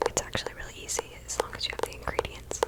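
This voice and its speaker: Someone whispers over noticeable background noise. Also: woman. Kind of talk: ASMR rambling to camera.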